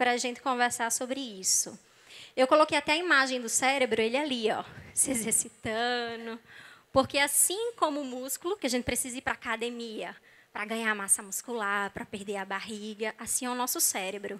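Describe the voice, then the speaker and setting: A woman speaks in a high voice with a bright, sharp tone and ordinary pitch variation. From Brazil, not Rio de Janeiro. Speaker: psychologist, church speaker; speaker. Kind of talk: sermon-style talk. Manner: animated. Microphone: handheld.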